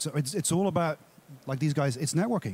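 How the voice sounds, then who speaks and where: A man with an Australian accent and ordinary pitch variation on a very clean recording with a silent background. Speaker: consultant, small business owner, audience member. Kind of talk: audience comment.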